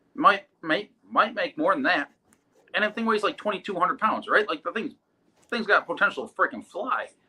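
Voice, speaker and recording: In an American accent, a man projects a raised, high-pitched voice with a bright, sharp tone. He sounds animated, with ordinary pitch variation. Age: 30s. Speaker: drag racer. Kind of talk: casual chat. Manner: fast.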